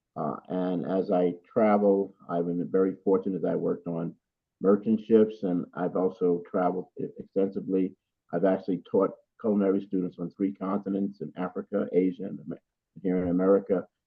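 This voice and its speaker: At a fairly quick pace, a man with a very deep, low pitch speaks in a flat monotone. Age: 80s+. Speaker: culinary educator and chef. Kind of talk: podcast interview. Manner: halting.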